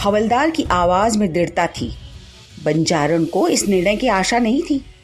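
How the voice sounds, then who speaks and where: Over music in the background, a woman at medium pitch speaks with very wide pitch swings. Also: very even loudness. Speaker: theatre actor. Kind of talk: short story reading.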